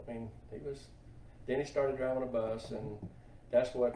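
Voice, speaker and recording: A man with a Southern US accent, with audible room echo and noticeable background noise. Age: 60s. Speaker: truck driver for a racing team. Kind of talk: interview.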